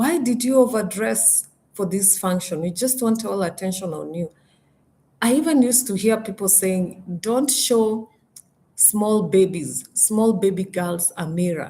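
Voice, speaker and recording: A woman speaks slowly-ish at medium pitch, somewhat breathy, with a dark, mellow tone and ordinary pitch variation. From Kenya. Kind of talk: live stream talk. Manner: halting, with self-corrections.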